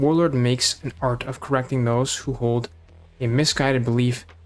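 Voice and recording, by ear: Intonation holds fairly even. Someone reads aloud here in a natural voice.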